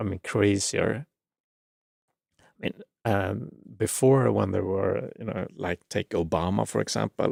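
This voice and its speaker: A man at a fairly slow pace with long, frequent pauses, in a dry, close sound with no echo. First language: not English. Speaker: spirituality channel host. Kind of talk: livestream commentary. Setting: live stream. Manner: halting, many fillers and repeats.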